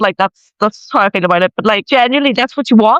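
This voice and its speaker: An animated man with a Northern Irish accent speaks at a high pitch, recorded with a dry, close sound and no echo. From Northern Ireland. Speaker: commentary vlogger. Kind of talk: opinion rant video.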